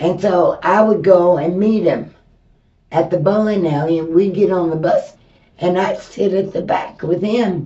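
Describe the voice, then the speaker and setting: At a fairly slow pace, a woman with an American accent speaks at medium pitch with fairly even intonation, and audible room echo is present. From Texas, Houston. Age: 70s. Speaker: interviewee, host's mother. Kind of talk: interview.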